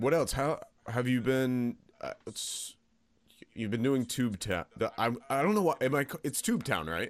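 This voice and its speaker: With an American accent, a man of medium pitch speaks at a fairly slow pace while his pitch makes very wide swings. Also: very clean recording, silent background. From Pennsylvania. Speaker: podcast host and voice actor. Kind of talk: casual chat.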